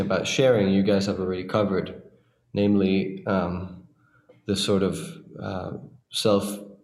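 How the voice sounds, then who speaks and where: Audible room echo surrounds a man's fairly low-pitched voice. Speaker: orchestral clarinetist. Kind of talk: casual chat.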